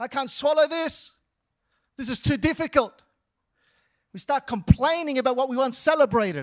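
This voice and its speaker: In a dry, close recording with no echo, a man with an extremely high voice speaks at a moderate pace in an animated tone, with ordinary pitch variation, big swings in loudness and long, frequent pauses. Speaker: pastor. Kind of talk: sermon. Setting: church. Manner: preacher in full flow, repetitive call-and-response.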